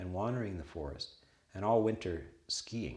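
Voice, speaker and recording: A man with a fairly low, somewhat breathy voice talks with ordinary pitch variation. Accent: Canadian. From western Canada. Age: 60s. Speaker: Buddhist monk and abbot. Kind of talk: casual conversation.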